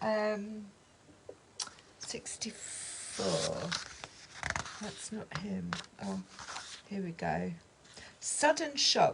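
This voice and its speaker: A woman speaks at a very slow pace with long, frequent pauses. Her loudness swings widely over noticeable background noise. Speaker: tarot and oracle card reader. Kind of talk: oracle card reading with read-aloud guidebook text.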